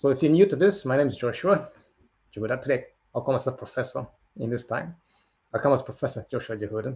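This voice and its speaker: A man talks very fast with lively intonation and long, frequent pauses. His medium-pitched voice is somewhat breathy, and the background is quiet. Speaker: motivational livestream host. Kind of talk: motivational livestream talk. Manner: animated.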